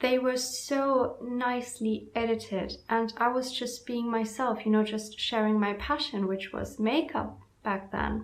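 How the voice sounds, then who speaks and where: Over noticeable background noise, a woman with a German accent speaks very slowly in a high voice, her intonation fairly even. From Germany. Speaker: self-help vlogger. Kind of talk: casual vlog talk.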